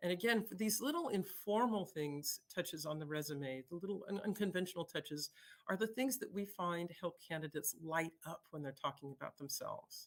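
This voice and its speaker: Lively intonation from a woman with a fairly low pitch at a fairly quick pace. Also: hardly any pauses. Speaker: conference speaker. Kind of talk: conference talk. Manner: fast; halting, many fillers.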